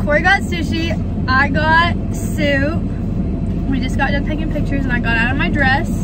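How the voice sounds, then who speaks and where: Loud background noise runs behind a woman talking at a moderate pace. Her voice sounds dry, with no echo. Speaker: vlogger. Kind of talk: casual vlog chat. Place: car. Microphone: phone near.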